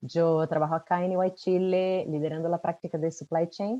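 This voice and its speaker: A woman with a Brazilian accent speaks at a moderate pace in a dark, mellow tone. The recording is dry and close, with no echo. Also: quiet background. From Brazil, São Paulo. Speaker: supply chain consultant. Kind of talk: webinar panel presentation. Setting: webcast.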